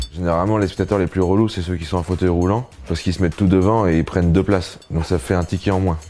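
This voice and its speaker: A man's very deep, low voice at a very fast pace with fairly even intonation, over noticeable background noise. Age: 30s. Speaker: comedian. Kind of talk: casual interview.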